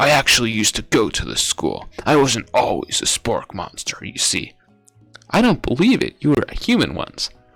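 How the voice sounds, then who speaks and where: Using a put-on character voice, a man speaks at a moderate pace in a fairly high pitch, with faint music in the background. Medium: game stream. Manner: earnest.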